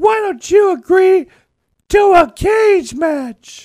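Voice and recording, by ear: A man's put-on character voice at an extremely high pitch, with a slow pace, lively intonation and a slightly mellow tone, on a very clean recording with a silent background.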